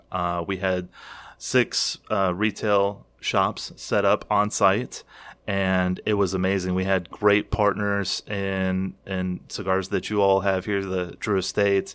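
Speaking very slowly with a Kentucky accent, the man keeps a monotone, flat intonation. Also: fairly low pitch for a man, very clean recording, silent background. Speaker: cigar retailer and smoking champion. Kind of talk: casual interview chat.

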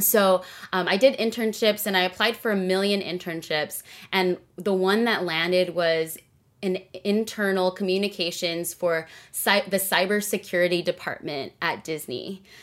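Speaking at a moderate pace with a Californian accent, a woman keeps a medium pitch and a fairly even intonation. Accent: Californian American. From Southern California. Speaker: executive producer and singer. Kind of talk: interview conversation.

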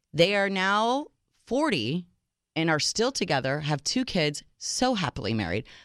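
This woman's fairly low voice, touched with vocal fry, moves at a fairly slow pace through very wide pitch swings. The recording is very clean, with a silent background. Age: 40s. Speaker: radio dating show co-host. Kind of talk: casual chat. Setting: studio.

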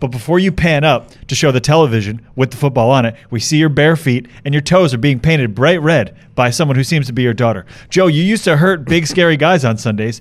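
An ordinary speaking voice at a fairly quick pace, with hardly any pauses, very even loudness, ordinary pitch variation and a very clean recording with a silent background. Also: man, fairly high pitch for a man. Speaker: podcast producer. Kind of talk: casual chat.

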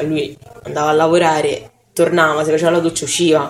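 Here a woman talks with a fairly low pitch. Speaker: friend of the victim. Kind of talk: casual interview. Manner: laughs often.

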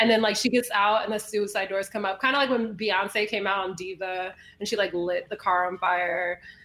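A woman speaks at a medium pitch and a moderate pace, her intonation fairly even, with noticeable background noise behind her. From Chicago. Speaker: music manager. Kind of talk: casual chat.

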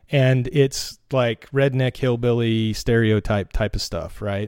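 A plain, everyday voice from a man with an American accent, medium pitch and ordinary pitch variation, on a very clean recording with a silent background. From North Carolina mountains. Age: 40s. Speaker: race fan. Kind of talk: casual chat. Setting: at home.

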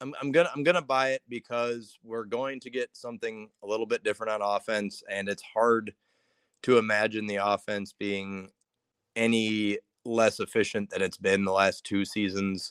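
Recorded very cleanly against a silent background, with a dry, close sound and no echo, a man with a plain, everyday voice speaks at a moderate pace, his fairly low pitch showing ordinary variation. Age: 20s. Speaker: sports writer. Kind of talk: casual chat.

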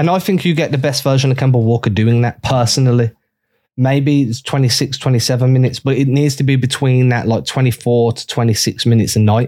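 With an English accent, a man speaks at a moderate pace and medium pitch. His tone is dark and mellow, and his intonation fairly even. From England. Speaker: basketball blogger. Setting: remote call.

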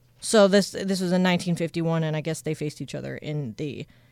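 In a normal speaking voice, a woman with fairly low pitch and ordinary pitch variation talks at a moderate pace on a very clean recording with a silent background. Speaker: radio show staffer. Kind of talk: casual chat. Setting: studio.

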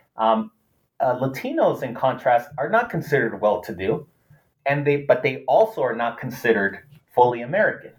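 Speaking at a fairly quick pace, a man uses medium pitch and lively intonation. His voice is somewhat breathy. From US West Coast (Los Angeles). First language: Spanish. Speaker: political science professor. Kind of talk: interview.

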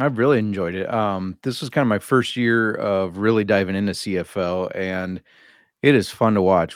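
Against a quiet background, a man talks at a moderate pace in a plain, everyday voice, fairly low in pitch and fairly even in intonation. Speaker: sports betting analyst, guest co-host. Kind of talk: casual sports betting chat.

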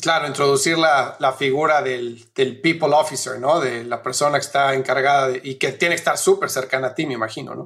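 A man speaks in a plain, everyday voice at a fairly high pitch and a fairly quick pace, with fairly even intonation and hardly any pauses. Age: 40s. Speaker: podcast host and business consultant. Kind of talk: interview; promo read.

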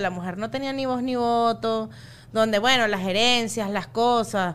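A woman speaks with a Venezuelan accent at a fairly high pitch. Her intonation is lively and her pace moderate. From Venezuela, Los Teques. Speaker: comedian. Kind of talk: casual chat.

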